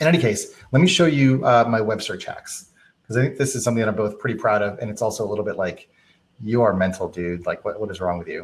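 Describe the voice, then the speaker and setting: A man with an American accent talks at a very fast pace, his medium-pitched, somewhat breathy voice carrying lively intonation. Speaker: productivity workshop presenter; presenter. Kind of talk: live stream tutorial. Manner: casual with many fillers.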